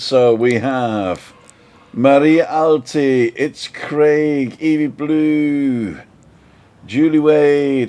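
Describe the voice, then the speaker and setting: Over noticeable background noise, a man talks at a fairly high pitch. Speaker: live stream host. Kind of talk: casual live stream chat. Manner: animated.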